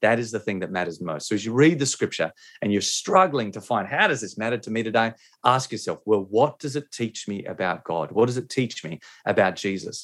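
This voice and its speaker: The speaker has an Australian accent and lively intonation at a fairly quick pace. The recording is very clean, with a silent background. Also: man, medium pitch for a man. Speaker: pastor and author. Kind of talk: interview. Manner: halting.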